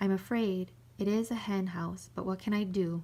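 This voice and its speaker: A female-sounding voice takes on a put-on character. It sits at a middle pitch and moves at a moderate pace. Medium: read story.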